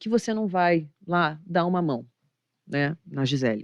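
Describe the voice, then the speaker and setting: A woman with a Rio de Janeiro accent speaks at a fairly low pitch with ordinary pitch variation. The sound is dry and close, with no echo. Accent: Rio de Janeiro (carioca). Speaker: investment manager. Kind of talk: podcast interview. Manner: animated.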